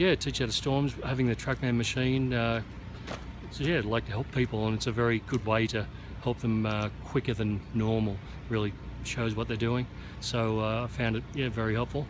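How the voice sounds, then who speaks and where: A man with an Australian accent talks at moderate pace and medium pitch, his intonation fairly even and his loudness very even. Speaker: golf teaching pro. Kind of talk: post-round interview. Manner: halting, many fillers.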